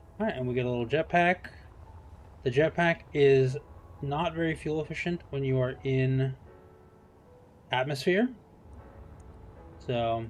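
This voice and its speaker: Music plays in the background as a man with a fairly high pitch speaks with ordinary pitch variation and long, frequent pauses. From US, Seattle. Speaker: game streamer. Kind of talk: live gameplay stream commentary. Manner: casual, hesitant with fillers.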